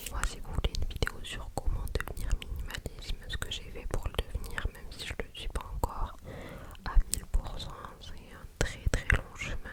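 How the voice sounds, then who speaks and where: A woman whispers, her loudness rising and falling sharply, with noticeable noise behind her. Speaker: ASMR creator. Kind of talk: ASMR casual chat to camera. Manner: whispered; slow, soft-spoken.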